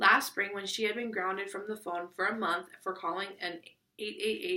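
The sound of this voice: An unforced reading voice against little background sound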